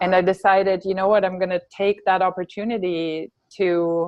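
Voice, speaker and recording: A woman's flat, monotone delivery at a moderate pace, medium in pitch, with a German accent. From Germany, grew up on a farm. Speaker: health coach, fitness trainer and yoga instructor. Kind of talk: interview.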